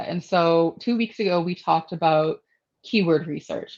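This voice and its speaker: The woman's voice sits fairly low. She talks at a moderate pace. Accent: Boston. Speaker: marketing analytics show host. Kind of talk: show intro, casual discussion.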